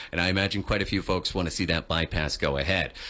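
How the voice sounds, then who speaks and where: A man's upbeat voice with a bright, sharp tone. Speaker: radio morning show host. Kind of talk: radio interview host.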